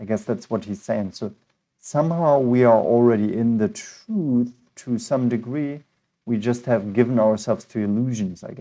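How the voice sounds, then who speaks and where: Against a quiet background, a man with a non-native accent speaks in a dark, mellow tone. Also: medium pitch for a man, ordinary pitch variation, moderate pace, big swings in loudness. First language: not English. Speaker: philosophy teacher, reading texts aloud. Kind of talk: assisted reading with commentary. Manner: halting.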